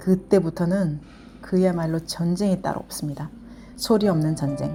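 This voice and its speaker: A woman's voice over music in the background. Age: 50s. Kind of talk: casual vlog narration. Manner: fast.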